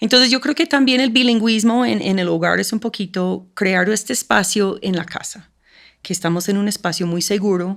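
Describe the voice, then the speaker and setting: A woman in an English accent, medium in pitch, with lively intonation at a moderate pace. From United States. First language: English (speaking Spanish). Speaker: school program coordinator. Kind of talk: podcast interview.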